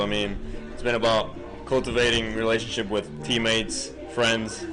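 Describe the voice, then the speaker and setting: A man's voice comes through with audible room echo and music in the background. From Puerto Rico. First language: Spanish. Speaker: college baseball player. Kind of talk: casual interview.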